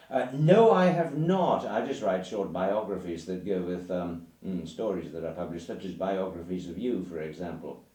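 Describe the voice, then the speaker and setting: Speaking in an English accent, a man with a very deep, low pitch and a dark, mellow tone keeps a moderate pace with hardly any pauses and ordinary pitch variation, with audible room echo around him. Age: 60s. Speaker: writer. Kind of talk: casual chat. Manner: halting.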